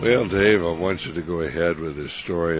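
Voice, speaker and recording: A man with a very deep, low voice speaks at a moderate pace. Noticeable background noise runs underneath. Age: 70s. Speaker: radio host. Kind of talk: radio interview. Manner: hesitant, many fillers.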